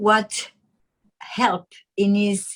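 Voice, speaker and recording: Very slowly and somewhat breathily, a woman with a French accent speaks at a fairly high pitch. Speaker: guest mother and teacher. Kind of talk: interview. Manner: halting.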